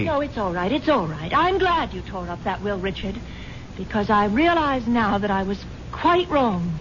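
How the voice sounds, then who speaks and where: A woman with a medium-pitched voice and very wide pitch swings talks at a moderate pace against noticeable background noise. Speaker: wealthy wife character in a radio drama. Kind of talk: old-time radio drama dialogue.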